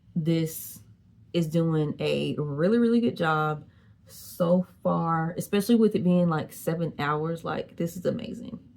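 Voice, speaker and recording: In an unremarkable speaking voice, a woman with a fairly low pitch talks at a fairly slow pace with lively intonation. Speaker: beauty vlogger. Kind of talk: product review. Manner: casual, chatty.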